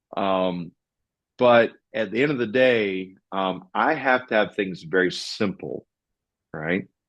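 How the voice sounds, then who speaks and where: A man speaks with a Southern US accent at a fairly low pitch. The background is quiet. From US South. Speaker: financial podcast host. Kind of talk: casual discussion. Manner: slow.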